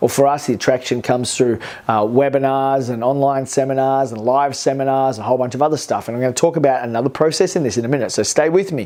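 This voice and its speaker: This man talks very fast with an Australian accent, hardly pausing at all. His pitch is medium, with ordinary variation. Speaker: business coach. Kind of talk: to-camera vlog talk.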